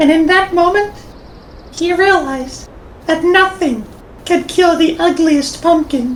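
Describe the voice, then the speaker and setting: Against clear background noise, a woman speaks at an extremely high pitch and a fairly slow pace, with long, frequent pauses. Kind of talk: parody storybook narration. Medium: machinima. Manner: deadpan, mock-dramatic.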